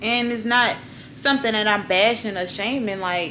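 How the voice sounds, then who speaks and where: Audible room echo and noticeable background noise surround the voice. A woman speaks at a medium pitch with ordinary pitch variation. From US South, New Orleans. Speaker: YouTuber. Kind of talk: casual vlog talk.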